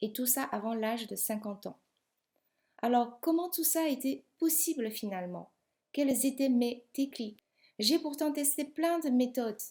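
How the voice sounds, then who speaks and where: Speaking at a fairly slow pace with a non-native accent, a woman has a high pitch and a dark, mellow tone. Her pitch varies in an ordinary way, while her loudness swings widely. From outside Europe, immigrated to France at 28. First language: not French (speaking French). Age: 50s. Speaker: business coach. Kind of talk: sales pitch.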